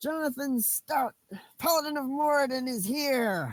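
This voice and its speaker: A woman puts on a shrill character voice, high in pitch, delivered at a moderate pace. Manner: heroic, announcing himself.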